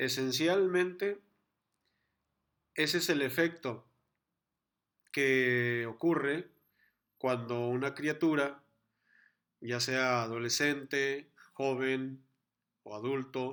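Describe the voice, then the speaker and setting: A man at a very slow pace with fairly even intonation and long, frequent pauses. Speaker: church class teacher. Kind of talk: online lecture. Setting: live video class with chat.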